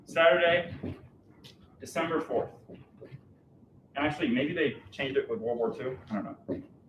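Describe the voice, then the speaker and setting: A loud man with a high pitch speaks at a moderate pace with lively intonation, long and frequent pauses, and audible room echo. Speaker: math educator. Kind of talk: lecture. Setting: classroom with live audience, streamed.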